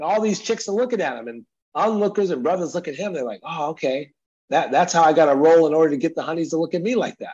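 Over a quiet background, a man with a high pitch speaks at a very fast pace, using lively intonation and big swings in loudness. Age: 50s. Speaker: entrepreneur and author. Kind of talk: interview.

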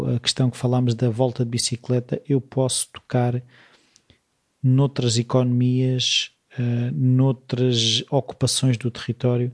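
A man talks at a fairly slow pace. His medium-pitched voice is somewhat breathy. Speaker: podcast host. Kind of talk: interview conversation.

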